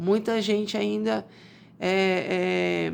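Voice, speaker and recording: A quiet voice comes through a very clean recording with a silent background. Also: woman. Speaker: doctor. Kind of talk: health advice talk.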